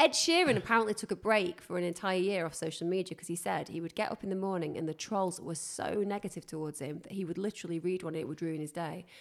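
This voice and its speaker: A woman talks at a very fast pace with hardly any pauses and big swings in loudness. Her pitch is fairly low, with ordinary pitch variation. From northern England. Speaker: podcast host. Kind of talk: casual chat.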